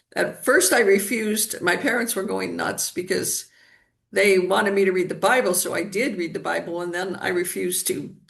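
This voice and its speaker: There is audible room echo. Within it, a woman talks at a moderate pace. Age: 70s. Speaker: energy healer. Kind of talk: interview.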